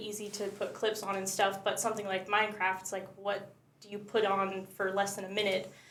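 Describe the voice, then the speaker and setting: A woman's voice with audible room echo. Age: 20s. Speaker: content creator. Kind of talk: casual chat. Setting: live podcast.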